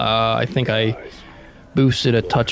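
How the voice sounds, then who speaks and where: Music plays in the background. Over it, a man talks at a fairly slow pace. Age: 20s. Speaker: gaming streamer. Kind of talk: casual live stream chat. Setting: at home, live streaming. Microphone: new EQ settings, reduced bass.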